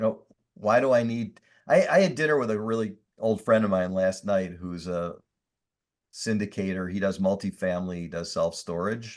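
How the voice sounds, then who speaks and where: Over a quiet background, a man speaks at a moderate pace, his fairly low pitch showing ordinary variation. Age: 60s. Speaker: industrial real estate investor. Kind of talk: podcast interview. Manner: animated.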